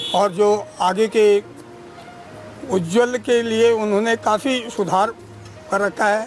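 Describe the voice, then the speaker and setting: Fairly even intonation in a man's high voice, with music in the background. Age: old. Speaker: retired school principal. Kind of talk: interview.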